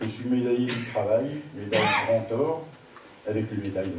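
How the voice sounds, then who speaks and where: Noticeable background noise and audible room echo surround a man speaking at a medium pitch with ordinary pitch variation. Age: 60s. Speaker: municipal election candidate. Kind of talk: campaign video statement. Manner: formal.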